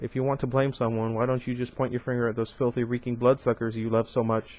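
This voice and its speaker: In a put-on character voice, a man growls at a very fast pace, his medium pitch held in a monotone, flat intonation. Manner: growling, hostile, contemptuous.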